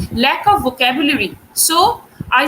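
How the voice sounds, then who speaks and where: A raised, projected voice with a Bengali accent comes through over noticeable background noise. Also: woman. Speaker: English teacher. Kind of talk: online class lecture. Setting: live stream. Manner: hesitant, many fillers.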